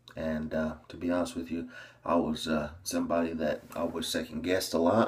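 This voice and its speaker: A man's very deep, low, somewhat breathy voice at a fairly slow pace, with an American accent. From US South, small-town Tennessee. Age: 20s. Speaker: fitness coach and bodybuilder. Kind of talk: casual vlog monologue.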